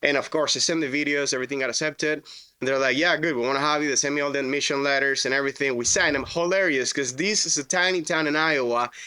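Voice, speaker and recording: An animated man with a Spanish accent speaks in a bright, sharp tone. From Venezuela. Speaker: roofing contractor. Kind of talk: podcast interview. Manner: casual, animated storytelling.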